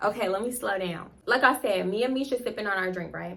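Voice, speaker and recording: Delivered in an animated tone at a fairly quick pace, the speech has ordinary pitch variation and audible room echo. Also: woman. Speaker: storytime youtuber. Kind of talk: storytime monologue. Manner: fast.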